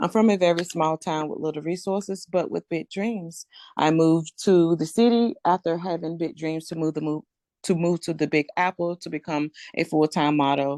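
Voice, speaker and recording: A woman with a Southern US accent speaks in a fairly low voice with a dark, mellow tone and ordinary pitch variation, the sound dry and close with no echo. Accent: country Southern. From rural North Carolina. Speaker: real estate investor. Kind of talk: podcast interview.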